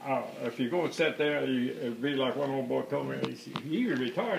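Against clearly audible background noise, the man's voice sits rather high. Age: 80s+. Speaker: retired power company lineman. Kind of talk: interview answer. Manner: hesitant, many filler words.

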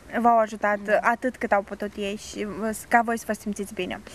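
The sound is dry, with no echo. A woman talks at a fairly high pitch. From Moldova. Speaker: student TV show host. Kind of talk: TV interview. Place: garden.

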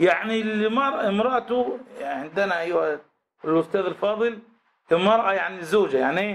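Speaking at a moderate pace, a man uses an animated tone in a high pitch. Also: ordinary pitch variation. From Egypt. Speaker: Islamic scholar teaching a text; religious teacher. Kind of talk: religious lesson. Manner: animated, rhetorical questions. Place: classroom. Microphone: studio mic.

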